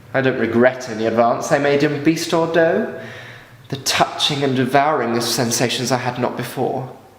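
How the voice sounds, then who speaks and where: Over noticeable background noise, a man at medium pitch speaks at a fairly slow pace with ordinary pitch variation. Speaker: stage actor. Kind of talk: dramatic monologue.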